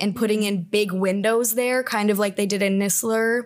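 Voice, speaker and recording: A woman at fairly high pitch and moderate pace, monotone and flat, on a very clean recording with a silent background. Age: 20s. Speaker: student podcast host. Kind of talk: casual chat. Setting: student newspaper office.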